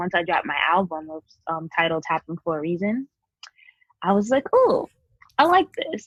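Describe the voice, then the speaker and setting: A woman with a New York accent, medium pitch and a moderate pace, recorded with a dry, close sound and no echo. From Queens, New York. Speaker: singer-songwriter. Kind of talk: interview.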